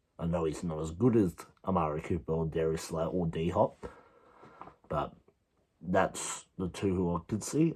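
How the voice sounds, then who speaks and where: Quiet and dark, mellow in tone, a man with an Australian accent speaks at a very deep, low pitch and a fairly slow pace. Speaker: sports video creator. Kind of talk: casual vlog commentary.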